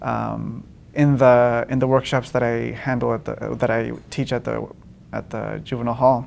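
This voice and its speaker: Moderate-paced speech from a man in a Spanish accent. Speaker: poet and writing teacher. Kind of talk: public interview. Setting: public event at a university. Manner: halting, many fillers and repeats.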